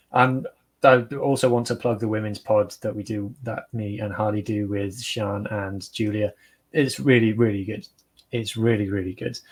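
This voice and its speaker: In a Welsh accent, a man speaks at a moderate pace with a fairly low pitch and monotone, flat intonation. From Wales. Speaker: rugby podcaster. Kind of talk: casual chat.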